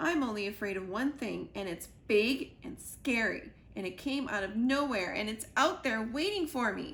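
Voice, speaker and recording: Using a put-on character voice, a woman talks at a moderate pace with a fairly high pitch and hardly any pauses. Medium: read story. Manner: jittery, dramatic.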